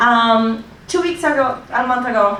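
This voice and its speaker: Against audible room echo, a woman speaks at a fairly slow pace in a high pitch. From Colombia. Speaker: public commenter, recent graduate. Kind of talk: public hearing testimony.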